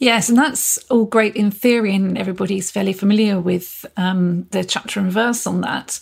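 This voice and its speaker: A woman's unremarkable speaking voice, medium in pitch, at a moderate pace with fairly even intonation and hardly any pauses. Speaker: employment lawyer. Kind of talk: professional podcast discussion.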